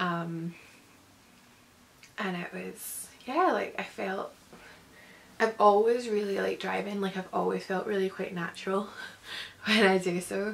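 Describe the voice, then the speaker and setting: With a Scottish accent, a woman speaks at a fairly slow pace with fairly even intonation and long, frequent pauses. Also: medium pitch for a woman. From Scotland. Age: 20s. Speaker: vlogger. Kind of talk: casual talk to camera. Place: home room. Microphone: phone near.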